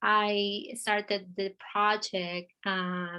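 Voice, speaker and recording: A woman's medium-pitched voice with a bright, sharp tone, fairly even intonation and an Argentine accent. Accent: Argentinian Spanish. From Argentina. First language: Spanish. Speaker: artist. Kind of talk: interview. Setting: video call. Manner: halting, many fillers.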